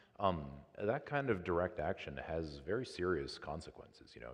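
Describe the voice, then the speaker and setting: A man with an American accent speaks in a calm tone with vocal fry. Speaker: trauma surgeon. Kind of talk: public talk Q&A. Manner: halting.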